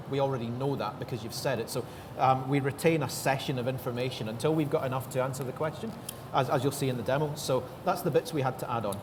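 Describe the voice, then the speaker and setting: In a very fast delivery, a man speaks at medium pitch with ordinary pitch variation. Audible room echo and noticeable background noise surround his voice. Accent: Scottish. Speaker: tech developer advocate. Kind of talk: panel interview.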